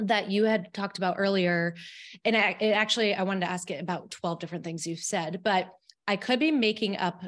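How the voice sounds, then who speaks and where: A woman with an ordinary speaking voice talks at a fairly quick pace in an American accent, with ordinary pitch variation. The recording is very clean, with a silent background. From Albany, New York. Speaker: podcast host and dietitian. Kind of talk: interview.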